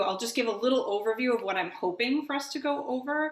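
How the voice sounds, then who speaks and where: With lively intonation, a woman talks at a moderate pace in a plain, everyday voice. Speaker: rabbi. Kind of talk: lecture. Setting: video call.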